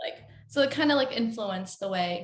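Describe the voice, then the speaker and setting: A woman speaks at a moderate pace with a fairly high pitch and lively intonation. Audible room echo surrounds her voice. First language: Spanish. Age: 20s. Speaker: singer-songwriter. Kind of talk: interview. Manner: casual, filler-heavy.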